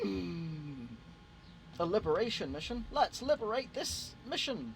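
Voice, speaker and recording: With music playing behind him, a man speaks at a high pitch for a man, his pitch swinging very widely. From Britain. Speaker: gaming streamer. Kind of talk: casual live stream chat.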